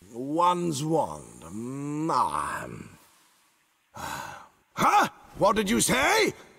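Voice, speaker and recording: A man's put-on character voice at a very slow pace, broken by long, frequent pauses. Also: fairly high pitch for a man. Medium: video game. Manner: royal "one's" speech, haughty.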